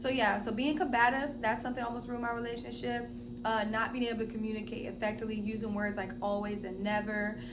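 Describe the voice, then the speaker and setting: A woman talks very fast in a fairly high, animated voice. Noticeable background noise and audible room echo surround her. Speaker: relationship vlogger. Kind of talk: casual monologue.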